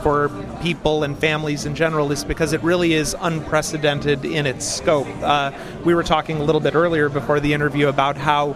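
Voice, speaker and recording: Over music in the background, a man with an American accent talks at a fairly high pitch with fairly even intonation. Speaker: theme park writer and designer. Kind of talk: casual interview.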